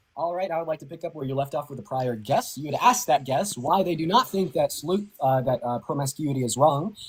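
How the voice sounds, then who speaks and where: Against noticeable background noise, a man with a fairly high pitch talks very fast with lively intonation and hardly any pauses. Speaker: online debater. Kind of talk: heated debate. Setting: live video stream call. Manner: quiet.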